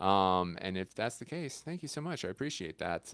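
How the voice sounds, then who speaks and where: Talking at a very fast pace, a man's pitch swings very widely. The recording is very clean, with a silent background. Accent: American. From South Carolina. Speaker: content creator and livestreamer. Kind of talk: casual livestream chat with viewers. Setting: home kitchen livestream. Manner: hesitant, many fillers.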